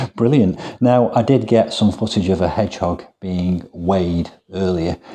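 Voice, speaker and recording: Quiet and at a moderate pace, a man talks with a very deep, low pitch and ordinary pitch variation. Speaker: gardening youtuber. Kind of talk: interview. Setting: wildlife hospital hedgehog room.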